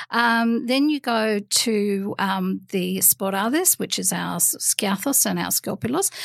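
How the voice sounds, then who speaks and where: The recording of a woman with an Australian accent sounds dry and close, with no echo. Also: fairly slow pace, hardly any pauses, very clean recording, silent background. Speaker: guest with Greek heritage. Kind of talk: casual chat. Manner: hesitant, many ums.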